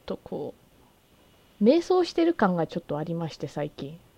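The speech moves at a moderate pace. The sound is dry and close, with no echo. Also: woman, big swings in loudness. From Japan. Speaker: podcast host. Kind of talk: casual chat. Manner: animated.

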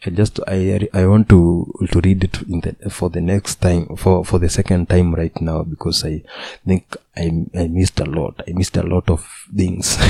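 With a Kenyan accent, a man speaks in a very deep, low pitch and a monotone, flat delivery, the sound dry and close with no echo. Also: moderate pace. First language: Kikuyu or Swahili. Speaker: youtuber and podcaster. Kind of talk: solo casual monologue. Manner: halting, with frequent repetitions.

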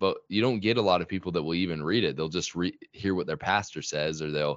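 A man with a Utah accent at a fairly quick pace. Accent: American (Utah). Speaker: YouTube creator on religion. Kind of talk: casual interview.

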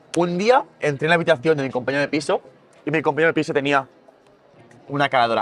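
This man speaks fairly quickly, his pitch fairly high for a man. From Catalonia, town outside Barcelona. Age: 30s. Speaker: skateboard maker. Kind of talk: interview. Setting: festival.

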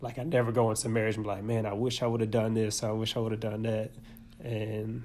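A man's dark, mellow tone at a medium pitch, monotone and flat, at a very fast pace with audible room echo. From Arkansas. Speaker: podcast co-host. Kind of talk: casual chat.

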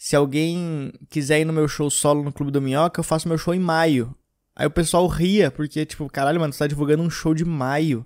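In a very clean recording with a silent background, a man talks at a fairly quick pace in a normal speaking voice, his pitch fairly high and his intonation fairly even. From Rio Grande do Sul, Brazil (Gramado). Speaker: stand-up comedian and podcast host. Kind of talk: casual monologue.

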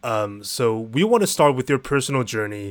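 Here is a man with a normal speaking voice and medium pitch. He talks at a fairly quick pace on a very clean recording with a silent background. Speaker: podcast co-host. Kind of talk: interview.

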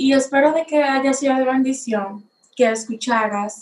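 A woman's ordinary speaking voice at a fairly slow pace. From Dominican Republic. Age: young. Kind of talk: personal testimony.

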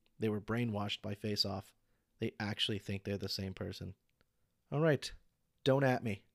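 A man with a fairly low pitch and ordinary pitch variation speaks at a moderate pace, leaving long, frequent pauses. The recording is very clean and dry, with a silent background, a close sound, and no echo. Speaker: solo podcaster. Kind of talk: solo podcast monologue, casual. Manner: halting, self-doubting, rambling.

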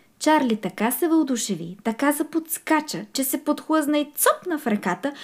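In a very clean recording with a silent background, a woman speaks at a fairly slow pace, somewhat breathy with a warm, gentle tone and lively intonation. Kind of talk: children's storybook reading aloud. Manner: animated, playful, with distinct character voices; warm, gentle storyteller pacing.

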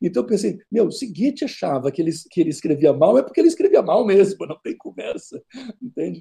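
A man with a slight southern Brazilian accent talks at a fairly quick pace. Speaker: history professor. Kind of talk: interview. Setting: video call.

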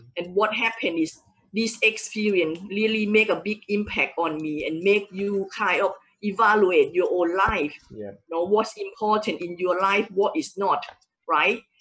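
In a plain, everyday voice, the speaker talks at a fairly slow pace. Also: woman, medium pitch for a woman, ordinary pitch variation. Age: 40s. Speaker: entrepreneur and wealth coach. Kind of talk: casual interview. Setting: live stream.

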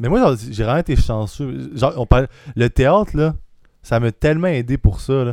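An ordinary speaking voice from a man, medium in pitch with ordinary pitch variation, at a fairly slow pace on a very clean recording with a silent background. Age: 20s. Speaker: aspiring stand-up comedian. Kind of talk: casual chat.

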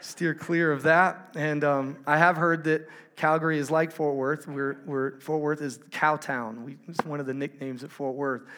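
A man's fairly high voice, bright and sharp in tone, flat and monotone, with hardly any pauses. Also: moderate pace. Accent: Texan. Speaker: conference speaker. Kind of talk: sermon.

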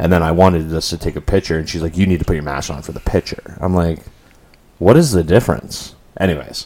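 Over noticeable background noise, a man with a very deep, low pitch talks at a very fast pace with big swings in loudness. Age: 30s. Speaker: podcast host. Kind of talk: casual chat. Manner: animated.

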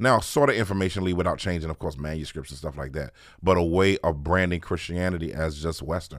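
In a very fast, very deep, low voice with vocal fry, a man with an American accent speaks with ordinary pitch variation and big swings in loudness, on a very clean recording with a silent background. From Washington, D.C. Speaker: pastor. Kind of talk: casual chat.

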